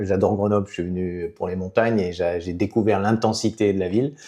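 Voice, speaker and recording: A man's voice against a quiet background. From southwestern France, Béarn near Basque Country. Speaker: politician, former mayor. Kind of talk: interview. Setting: podcast. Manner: hesitant, many fillers.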